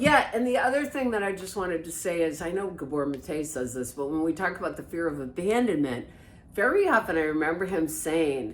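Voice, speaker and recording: Over noticeable background noise and audible room echo, a woman speaks loud and fairly quickly. Her fairly low pitch makes very wide swings. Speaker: codependency recovery podcast co-host. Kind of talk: casual chat.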